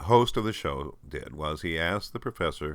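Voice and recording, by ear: Fairly slow pace from a man with a fairly bright tone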